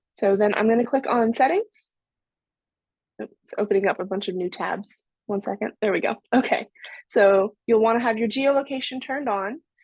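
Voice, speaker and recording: Against a quiet background, a woman speaks with a fairly high pitch and ordinary pitch variation, the sound dry with no echo. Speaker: software trainer; presenter. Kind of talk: tutorial. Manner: fast. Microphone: video call.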